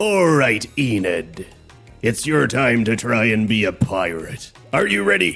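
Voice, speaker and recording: Putting on a character voice, a man talks at a fairly slow pace in a medium pitch while faint music plays in the background. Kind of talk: put-on pirate voice.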